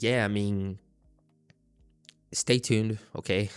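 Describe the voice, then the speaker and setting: A man's fairly low-pitched voice with a non-native accent. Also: very clean recording, silent background. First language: not English. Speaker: trading YouTuber. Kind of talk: casual monologue to camera. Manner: halting, frequent self-repetition; unscripted, conversational.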